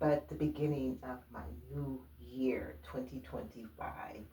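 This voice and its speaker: A woman talks at a very slow pace, with noticeable background noise present throughout. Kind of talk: casual talk to camera, personal story.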